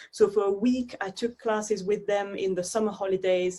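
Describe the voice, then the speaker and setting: A woman's dark, mellow voice at medium pitch with a French accent, at a moderate pace and with fairly even intonation. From Belgium, Brussels area. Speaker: dance artist. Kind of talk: interview conversation.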